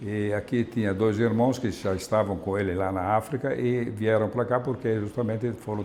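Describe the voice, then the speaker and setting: Fairly low-pitched and in an Italian accent, a man speaks at a moderate pace with fairly even intonation. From Emilia-Romagna, Italy (Salsomaggiore, Parma province). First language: Italian (speaking Portuguese). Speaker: Italian immigrant community member. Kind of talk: interview testimony. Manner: halting, many repetitions and fillers.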